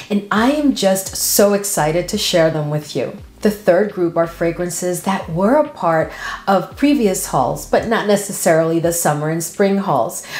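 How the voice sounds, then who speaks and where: A fairly low-pitched woman's voice at a moderate pace, with audible room echo. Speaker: fragrance creator. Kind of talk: casual vlog chat.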